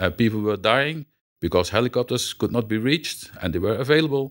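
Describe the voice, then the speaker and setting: The recording is very clean, with a silent background. A man speaks with lively intonation. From Netherlands. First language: Dutch. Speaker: military officer. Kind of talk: interview. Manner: halting.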